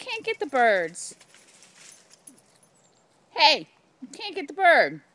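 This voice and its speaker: The tone is playful, with very wide pitch swings. Noticeable background noise runs underneath. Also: woman. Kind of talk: casual talk to pets while filming. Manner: playful, affectionate.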